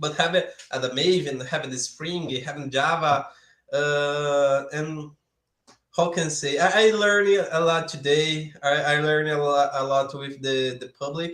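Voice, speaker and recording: His voice sits fairly high for a man, and his intonation stays fairly even. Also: fairly slow pace. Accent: Brazilian Portuguese. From Brazil, São Paulo area. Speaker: software developer, YouTuber. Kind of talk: live coding stream. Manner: halting.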